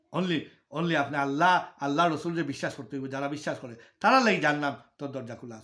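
A man talks at a fairly high pitch with a bright, sharp tone and ordinary pitch variation. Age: 50s. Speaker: religious speaker. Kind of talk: religious talk to viewers.

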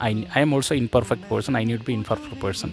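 A man's medium-pitched voice with fairly even intonation over music in the background. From Wayanad, Kerala, India. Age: 30s. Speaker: tuition teacher; public speaker and event announcer. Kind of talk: matrimonial self-introduction to camera.

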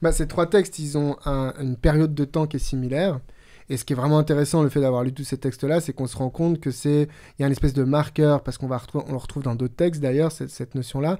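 Over a quiet background, a man talks at a very fast pace in a fairly high pitch, with a dark, mellow tone and fairly even intonation. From New Caledonia, moved to France at 13. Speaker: podcast co-host. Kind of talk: Bible study discussion. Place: studio. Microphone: studio mic.

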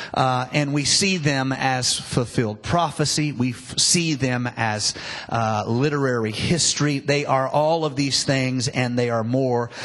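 A man talks fairly slowly, and his intonation stays fairly even. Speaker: preacher. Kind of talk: sermon. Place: church. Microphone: handheld.

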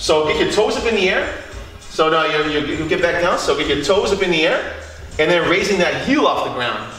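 Faint music plays in the background as a man speaks in a raised, projected voice at a moderate pace, with audible room echo. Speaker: fitness trainer. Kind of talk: tutorial. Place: home room.

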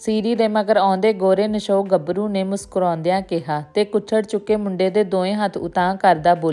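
Intonation stays fairly even. The delivery is plain reading aloud.

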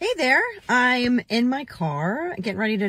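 A woman talks at a fairly slow pace, her voice somewhat breathy. The sound is dry, with no echo. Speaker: weight loss vlogger. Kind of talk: casual vlog chat. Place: car. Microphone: phone near.

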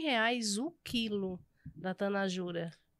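Against a quiet background, a woman talks with ordinary variation in pitch. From Pernambuco, rural area near Garanhuns; Pernambuco, Brazil. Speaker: pastry cook and entrepreneur; podcast guest. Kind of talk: casual interview chat. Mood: warm, lively, at times emotional. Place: studio. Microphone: studio mic.

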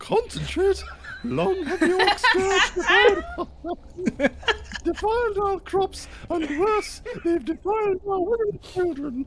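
The voice has an extremely high pitch and a fairly slow pace. Clear background noise can be heard. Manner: rousing battle speech.

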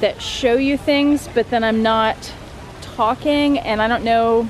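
A dry recording with no echo and light background noise. The pace is fairly slow, with ordinary pitch variation. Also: woman. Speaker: vlogger. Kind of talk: casual vlog chat. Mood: self-conscious, chatty. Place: waterside. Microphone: phone near.

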